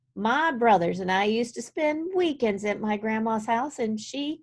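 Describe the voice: Lively intonation colors this plain reading aloud.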